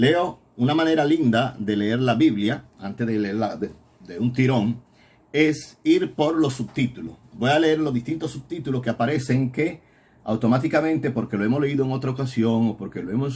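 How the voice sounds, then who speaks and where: An unremarkable speaking voice comes from a man of medium pitch who talks at a moderate pace with ordinary pitch variation. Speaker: priest teaching a Bible course. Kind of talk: recorded Bible lecture.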